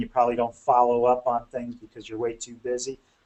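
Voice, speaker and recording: A man rattles along at a very fast pace. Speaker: bookkeeping consultant for lawn care companies. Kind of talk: webinar presentation. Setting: webinar.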